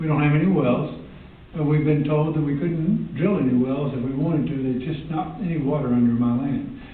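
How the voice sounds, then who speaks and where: Over noticeable background noise and audible room echo, a man with an American accent talks at a fairly quick pace and fairly high pitch. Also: ordinary pitch variation. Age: 70s. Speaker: public commenter, landowner. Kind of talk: public comment at board meeting. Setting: public board meeting.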